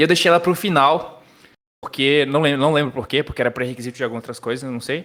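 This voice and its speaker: A man's ordinary pitch movement comes through on a very clean recording with a silent backdrop. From Brazil, Paraíba (João Pessoa). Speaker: software developer. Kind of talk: casual podcast interview.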